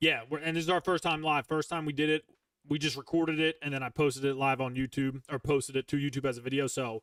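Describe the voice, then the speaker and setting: In a Philadelphia accent, a man with a fairly high pitch talks very fast in a monotone, flat intonation, the sound dry and close with no echo. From Philadelphia, US Northeast. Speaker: gaming streamer and podcast host. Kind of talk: casual chat. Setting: live stream.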